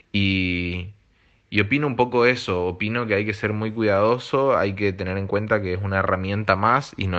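With an Argentine accent, a man speaks at a fairly low pitch and ordinary pitch variation. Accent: Rioplatense Argentine Spanish. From Argentina. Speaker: illustrator and designer. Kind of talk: recorded voice message.

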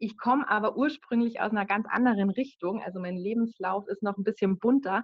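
A woman speaks in a plain, everyday voice at a moderate pace. Her pitch is fairly high, with ordinary variation. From Bavaria, village near Munich. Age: 30s. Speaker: virtual assistant. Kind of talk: casual interview.

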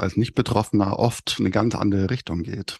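The recording is dry and close with no echo, carrying a man's fairly low-pitched voice. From Upper Bavaria, near Munich. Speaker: podcast co-host with Usher syndrome. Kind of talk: casual chat.

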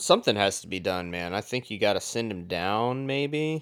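This man has an ordinary speaking voice, pitched at a medium level. His intonation is lively and his pace is moderate. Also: very clean recording, silent background. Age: 20s. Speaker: hockey podcast co-host. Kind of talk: casual chat.

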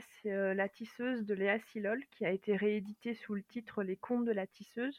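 With fairly even intonation, a woman speaks at a moderate pace and a fairly high pitch. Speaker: librarian and fantasy author. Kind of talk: casual interview chat.

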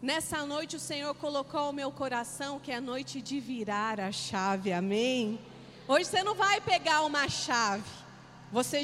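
Over noticeable background noise, a woman speaks at a fairly slow pace in a high voice. Her tone is animated, with very wide swings in pitch. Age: 40s. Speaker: pastor. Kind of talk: sermon.

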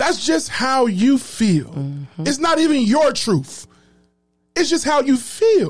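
Over music in the background, a man speaks at a very slow pace in an extremely high pitch with very wide pitch swings. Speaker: podcast host. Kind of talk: podcast recap with commentary; rally-style preaching, call-and-response. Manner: animated, emphatic, crowd-rousing, repeating lines with force; informal, conversational.

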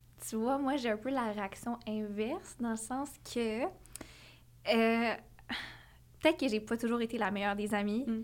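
A woman in a Quebec accent, fairly high in pitch, at a fairly slow pace and with ordinary pitch variation. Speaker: podcast co-host. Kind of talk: casual chat.

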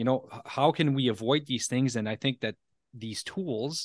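A man speaks at a fairly quick pace with a French Canadian accent. The background is quiet, and the sound is dry and close with no echo. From Ontario, Canada (Franco-Ontarian). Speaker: podcast host and leadership coach. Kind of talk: casual interview. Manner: halting, with many repeated words.

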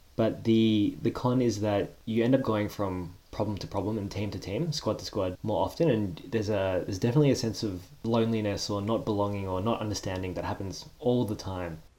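Speaking with an Australian accent, a man has a dark, mellow tone, a fairly low pitch, ordinary pitch variation and a fairly quick pace. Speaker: corporate professional. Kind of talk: casual chat.

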